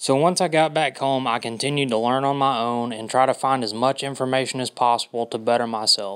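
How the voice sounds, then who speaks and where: Hardly pausing, a man speaks at a fairly quick pace with a medium pitch and fairly even intonation. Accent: Southern US. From US South, Georgia (Dalton). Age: 20s. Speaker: makeup artist. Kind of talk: audition video monologue.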